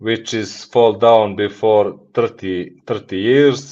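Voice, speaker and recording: A man's medium-pitched voice in a Montenegrin accent, very slow, with fairly even intonation. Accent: Montenegrin (Balkan) accent in English. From Montenegro. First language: Montenegrin / Serbo-Croatian. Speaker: business executive. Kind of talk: podcast interview. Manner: halting, non-fluent English.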